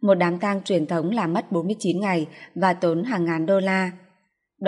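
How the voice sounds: This is a natural reading voice with fairly even intonation. The background is quiet.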